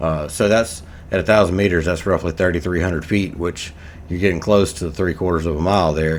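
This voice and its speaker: Fairly quick and fairly even in intonation, a man speaks with an American accent. His pitch is very deep and low. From USA. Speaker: gaming YouTuber. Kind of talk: gameplay commentary. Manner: casual, rambling with many fillers.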